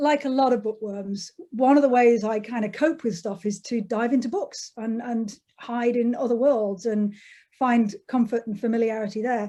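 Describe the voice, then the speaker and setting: With an English accent, a woman speaks at a moderate pace in a dark, mellow tone, her fairly high pitch showing ordinary variation. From England, Derbyshire. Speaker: author. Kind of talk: interview.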